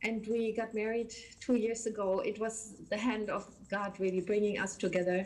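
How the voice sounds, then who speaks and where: A woman in a German accent speaks at a moderate pace with a fairly high pitch and monotone, flat intonation over noticeable background noise. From Germany. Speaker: missionary church worker. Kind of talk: interview. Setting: video call.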